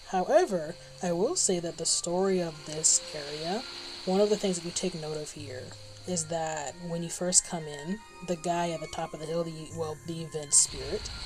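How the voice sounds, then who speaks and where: A woman mumbles at a moderate pace in a fairly low pitch with ordinary pitch variation. Her loudness swings widely, and there is noticeable background noise. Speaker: gaming streamer. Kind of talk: casual live stream chat. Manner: soft-spoken, quieter than others; mumbling. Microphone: low mic level, quieter than others.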